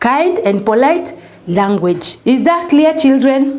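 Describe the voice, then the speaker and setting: A woman's high-pitched voice at a very slow pace, with very wide pitch swings, audible room echo and noticeable background noise. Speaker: primary school teacher. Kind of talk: recorded lesson for young children. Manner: loud and clear, not shouting; slow, repetitive, addressing children.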